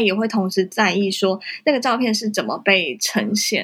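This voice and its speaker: In a very clean recording with a silent background, a plain, everyday voice speaks with ordinary pitch variation. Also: woman. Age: 20s. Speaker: photographer and social media visual content instructor. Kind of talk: casual interview.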